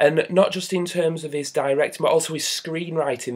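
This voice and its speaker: Fairly quick in pace, a man talks in a Northern English accent. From northern England. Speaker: film reviewer. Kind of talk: casual review monologue. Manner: hesitant, many fillers.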